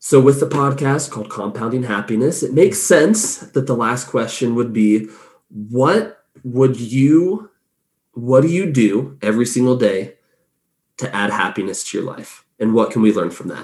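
Lively intonation at a moderate pace, in an Inland Northwest accent. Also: man, medium pitch for a man. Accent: American (Inland Northwest). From US, northern Idaho. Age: 20s. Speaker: podcast host. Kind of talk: casual interview chat. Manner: animated, laughing often.

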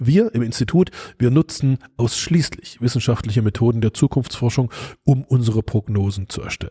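The man has a dark, mellow, somewhat breathy tone at medium pitch with ordinary variation, speaking at a moderate pace in a dry, close sound with no echo. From East Germany (GDR). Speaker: futurist and podcast host, former radio journalist. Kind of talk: solo podcast monologue.

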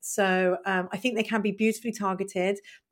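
Fairly quick, flat, monotone speech in a British accent on a very clean recording with a silent background. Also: woman. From Britain. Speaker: marketing consultant, podcast host. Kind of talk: casual chat.

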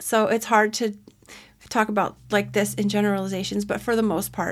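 The recording is very clean, with a silent background. A woman speaks at medium pitch with monotone, flat intonation. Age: 40s. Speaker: podcast host and fitness mentor. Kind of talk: casual solo podcast monologue. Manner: chatty, conversational.

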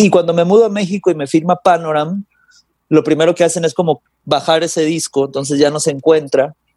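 A man's fairly high-pitched voice with a dark, mellow tone, fairly even intonation and a fairly quick pace, in a dry, close sound with no echo. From Mexico (Guadalajara) then Los Angeles from age 10. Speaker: singer-songwriter and guitarist. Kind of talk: casual interview chat.

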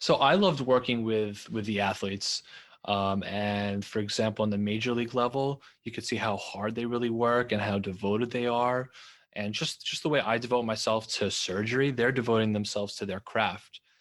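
A man with an American accent has an unremarkable speaking voice at medium pitch, with fairly even intonation. He talks at a fairly quick pace against a quiet background. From New York. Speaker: orthopedic surgeon. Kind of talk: interview.

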